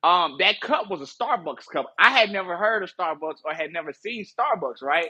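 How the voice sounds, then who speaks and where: A man with a strong Southern US accent speaks at a moderate pace with hardly any pauses. His high pitch, lively intonation and bright, sharp tone stand out. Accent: Southern US, still strong. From US South, Marianna, Arkansas. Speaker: music industry promotion director. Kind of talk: casual podcast interview. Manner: halting, many fillers and restarts.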